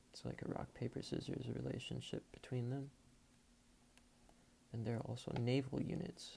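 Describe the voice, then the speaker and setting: This man's voice sits at a medium pitch and moves at a fairly slow pace. He is soft-spoken and somewhat breathy. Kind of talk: casual talk to camera.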